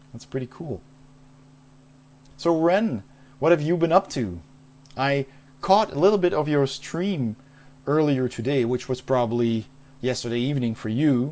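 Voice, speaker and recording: A man with a Dutch accent and fairly high pitch talks at a moderate pace with lively intonation and long, frequent pauses. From Netherlands, Maastricht. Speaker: game streamer. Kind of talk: casual chat. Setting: live stream.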